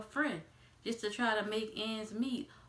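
A woman with an American accent and a fairly high pitch at a moderate pace, with audible room echo. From US South, New Orleans; Louisiana. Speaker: YouTuber; vlogger. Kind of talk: casual vlog monologue. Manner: hesitant, frequent um fillers. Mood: frustrated about prices. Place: home room. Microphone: phone near.

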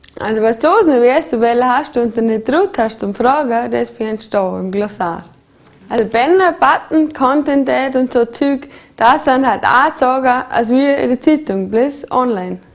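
With a Vorarlberg accent, a woman speaks at a high pitch with ordinary pitch variation. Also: moderate pace. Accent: Bregenzerwald dialect. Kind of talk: humorous promotional explainer. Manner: casual, chatty.

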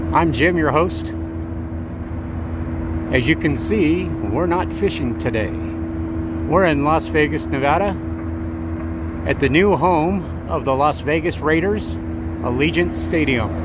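Very slow delivery over loud background noise, dry and echo-free. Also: man. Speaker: channel host. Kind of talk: casual tour narration. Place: street.

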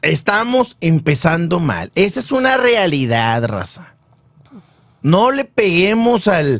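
A man speaks at a very slow pace and high pitch with very wide pitch swings. The sound is dry with no echo, over a quiet background. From Nuevo León, Mexico. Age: 40s. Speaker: sports show host. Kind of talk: casual sports talk show. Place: studio. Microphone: studio mic.

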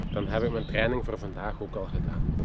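Over noticeable background noise, a man talks at a fairly quick pace in a dry setting with no echo. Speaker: family vlogger. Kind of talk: casual vlog chat. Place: bicycle. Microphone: phone near.

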